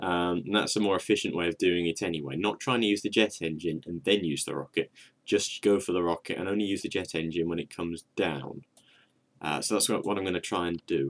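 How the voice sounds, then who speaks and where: A quiet man's voice, very deep and low in pitch, with ordinary pitch variation and a fairly quick pace. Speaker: gaming video creator. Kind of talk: gameplay commentary. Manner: casual, halting.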